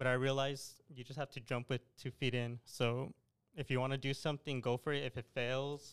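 An ordinary speaking voice from a man with an American accent, medium pitch, fairly even intonation and moderate pace, dry and close with no echo. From El Paso, Texas. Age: young. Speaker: army national guard officer, clothing entrepreneur. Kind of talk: casual interview.

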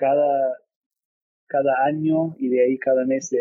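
Medium-pitched male speech at a very slow pace. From California, US. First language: English (speaking Spanish). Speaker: business executive. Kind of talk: interview.

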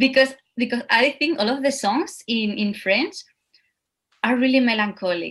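Speaking at a moderate pace with lively intonation, a woman with a Spanish accent has a high pitch. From Spain. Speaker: dancer and actor. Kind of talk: interview.

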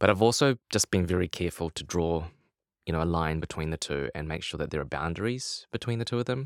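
Very fast, lively speech in a New Zealand accent, with a dry, close sound with no echo and a very clean recording, silent background. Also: man, very deep, low pitch for a man. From New Zealand, Lower Hutt. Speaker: poet. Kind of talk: interview conversation. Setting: studio.

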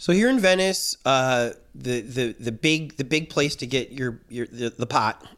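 Here a man talks in a plain, everyday voice with medium pitch and ordinary pitch variation. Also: fairly slow pace. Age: 50s. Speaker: podcast host. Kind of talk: casual interview.

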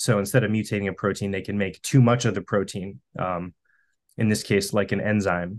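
A plain, everyday voice comes from a man with an American accent and a fairly low pitch. He talks at a fairly quick pace with fairly even intonation over a quiet background. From US Northeast, Western Massachusetts. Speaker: cancer researcher. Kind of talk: casual interview.

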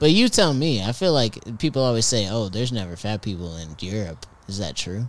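Over noticeable background noise, a man talks at a fairly quick pace in a fairly low voice with lively intonation. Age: 20s. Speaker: podcast co-host. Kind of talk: casual chat. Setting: back porch. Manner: laid-back.

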